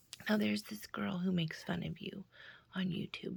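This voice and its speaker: A woman is speaking. She whispers. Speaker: youtuber. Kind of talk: direct-to-camera personal message. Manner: whispering; halting, many fillers.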